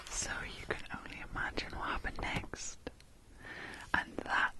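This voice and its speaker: Noticeable background noise sits behind a whispering woman. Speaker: ASMR creator. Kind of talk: children's story reading. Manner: whispered, soft-spoken, relaxing.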